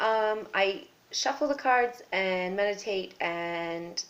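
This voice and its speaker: A woman's medium-pitched voice with ordinary pitch variation, a normal speaking voice. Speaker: tarot reader. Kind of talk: tarot reading video.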